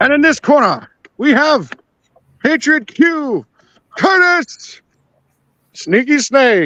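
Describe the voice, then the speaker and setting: A man puts on a character voice at an extremely high pitch. He goes very slowly, with long, frequent pauses. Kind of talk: announcer patter.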